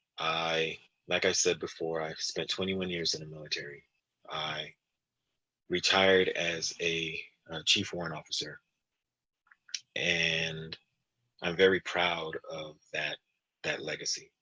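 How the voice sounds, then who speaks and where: A man speaks at a very deep, low pitch in a monotone, flat intonation. His pace is fairly slow, broken by long, frequent pauses. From Belize. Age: 40s. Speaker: congressional candidate, army veteran. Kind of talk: interview closing statement.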